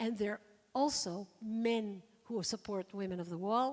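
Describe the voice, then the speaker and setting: A woman's fairly high voice with ordinary pitch variation. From Israel. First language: Hebrew. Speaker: activist and former swimming champion. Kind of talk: forum talk.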